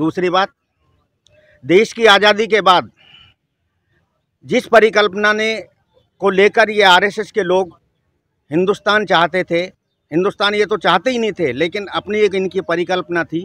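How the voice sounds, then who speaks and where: The tone is bright and sharp, broken by long, frequent pauses. The sound is dry and close, without echo. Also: man, high pitch for a man. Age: 60s. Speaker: member of the public interviewed on the street. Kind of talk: street interview, political opinion. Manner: animated.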